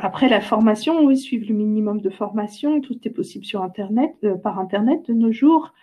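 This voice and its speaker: The voice is somewhat breathy, moving at a moderate pace. Its pitch variation is ordinary. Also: woman, fairly high pitch for a woman. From France, near Orléans. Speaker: climate change expert. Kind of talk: interview. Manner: halting, many repetitions.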